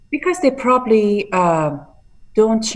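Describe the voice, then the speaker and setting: With ordinary pitch variation, a woman talks in an Iranian accent. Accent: Iranian (Persian) accent in English. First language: Persian. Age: 40s. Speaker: bodybuilder and fitness entrepreneur. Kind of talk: interview.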